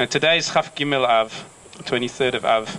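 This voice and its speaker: With noticeable background noise behind him, a man with a South African accent speaks at a fairly quick pace in a fairly high pitch, showing ordinary pitch variation. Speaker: community organisation representative. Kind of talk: ceremonial speech. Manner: halting.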